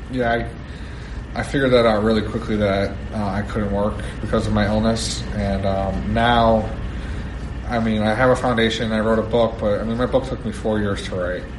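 A man with an American accent speaks at a moderate pace, with noticeable background noise and audible room echo. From New Jersey. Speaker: retired football player. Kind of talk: interview. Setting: side room before a speech.

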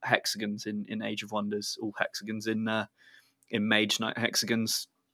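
In a dry, close recording with no echo and a silent background, a man speaks at a medium pitch and moderate pace in a bright, sharp tone. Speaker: game designer. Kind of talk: casual chat.

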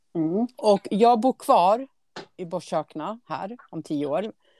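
Recorded with a dry, close sound and no echo, a woman speaks very slowly at medium pitch with a dark, mellow tone and lively intonation. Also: big swings in loudness. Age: 50s. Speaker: podcast host. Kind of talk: casual chat.

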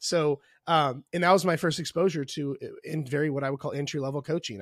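With a US Midwestern accent, a man speaks at a moderate pace and fairly high pitch, with ordinary pitch variation. The recording is very clean, with a silent background and a dry, close sound with no echo. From Indianapolis, US Midwest. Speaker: online fitness coach. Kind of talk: casual interview chat.

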